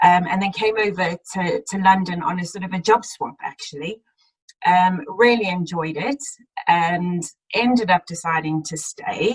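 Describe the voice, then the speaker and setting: At a moderate pace, a woman with a slight South African accent talks at a medium pitch with ordinary pitch variation. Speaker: accountant, audit partner. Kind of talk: career talk in webinar.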